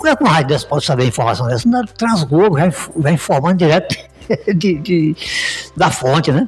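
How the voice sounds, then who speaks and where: A man talks at a fairly quick pace with lively intonation. His loudness stays very even over music in the background. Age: 60s. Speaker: businessman and radio owner. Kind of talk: podcast interview conversation. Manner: repetitive, halting.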